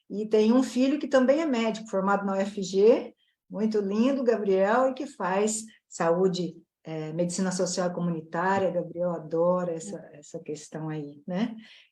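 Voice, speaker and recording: A woman's medium-pitched voice, dark and mellow in tone, carries lively intonation and big swings in loudness. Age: 60s. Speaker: plastic surgeon. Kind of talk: casual panel chat.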